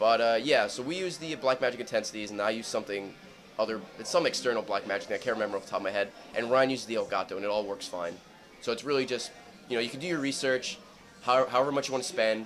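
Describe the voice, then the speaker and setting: Faint music plays in the background as a man talks at a very fast pace with ordinary pitch variation. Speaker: interviewee, video creator. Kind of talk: interview answer. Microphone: handheld.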